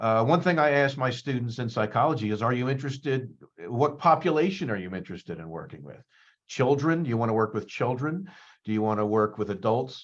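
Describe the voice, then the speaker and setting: A man with an American accent speaks at a medium pitch and a fairly quick pace against a quiet background. His intonation is lively and his loudness swings widely. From US Northeast, suburbs of Philadelphia. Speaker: psychology professor. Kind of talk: career talk presentation. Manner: fast; hesitant, many fillers and repetitions.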